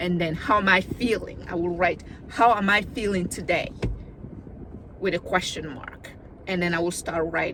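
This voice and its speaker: A woman with a non-native accent talks at a moderate pace in a fairly low voice, with ordinary pitch variation. Her speech has long, frequent pauses, and background noise is noticeable. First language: not English. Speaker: video diarist. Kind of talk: casual vlog monologue. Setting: in a car. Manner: conversational, slightly halting.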